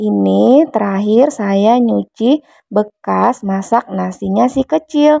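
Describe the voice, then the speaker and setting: A quiet woman at a very slow pace with hardly any pauses, in a dry, close sound with no echo. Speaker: vlogger, housewife. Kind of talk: vlog voiceover, casual chat. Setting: home voiceover. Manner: soft-spoken; quiet, recorded while baby sleeps.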